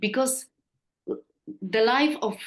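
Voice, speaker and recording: A woman speaks with a Polish accent. Her pace is very slow. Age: 50s. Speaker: therapist. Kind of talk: interview. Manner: halting.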